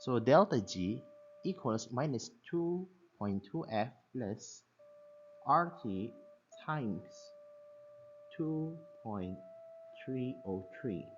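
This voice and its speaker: Very slow and full of long, frequent pauses, a man with a non-native accent swings his pitch very widely. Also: medium pitch for a man. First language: not English. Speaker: science teacher. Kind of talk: tutorial. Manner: halting.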